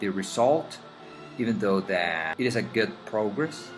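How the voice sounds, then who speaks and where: Music plays in the background. The voice moves through very wide pitch swings. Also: man. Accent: non-native. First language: Spanish. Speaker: digital artist. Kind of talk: drawing tutorial voice-over.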